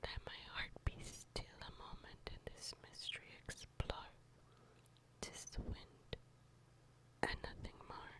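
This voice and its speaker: Whispering in a gentle tone, the speaker moves at a very slow pace. Long, frequent pauses break up the speech. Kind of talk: ASMR poetry reading. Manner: gentle, quiet.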